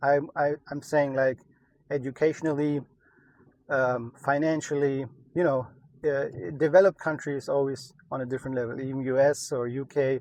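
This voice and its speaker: A fairly high-pitched man with a German accent speaks at a moderate pace in a monotone, flat intonation, with long, frequent pauses. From Germany. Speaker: entrepreneur, e-commerce YouTuber. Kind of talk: casual vlog update. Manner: many filler words, hesitant.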